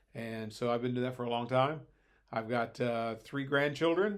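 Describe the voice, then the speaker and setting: A man with an Ohio accent speaks at a medium pitch with ordinary pitch variation. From Ohio, Hamilton. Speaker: Bible and history teacher. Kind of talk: casual chat. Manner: hesitant, many filler words.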